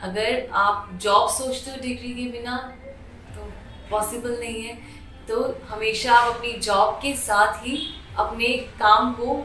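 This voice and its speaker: Music plays in the background as a woman with a fairly high pitch and fairly even intonation speaks with long, frequent pauses and big swings in loudness, with audible room echo. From Delhi, India. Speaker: hospital staff, former aviation worker. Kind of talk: interview testimony.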